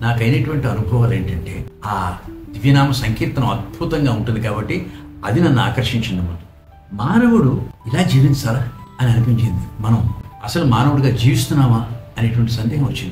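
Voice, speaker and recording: A man at a medium pitch with ordinary pitch variation, music in the background and audible room echo. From Andhra Pradesh. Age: 80s+. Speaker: devotee and retired engineer. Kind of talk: testimony.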